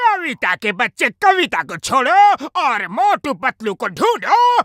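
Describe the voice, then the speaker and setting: This is a cartoonish character voice pitched high with very wide pitch swings. It moves at a very slow pace. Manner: boastful, bossy.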